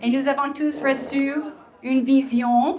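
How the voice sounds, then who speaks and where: A woman with an American accent speaks at a high pitch in a monotone, flat intonation over noticeable background noise. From Texas, US. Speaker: Bible teacher and entrepreneur. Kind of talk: talk to an audience. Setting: restaurant event with audience. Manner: halting, many fillers.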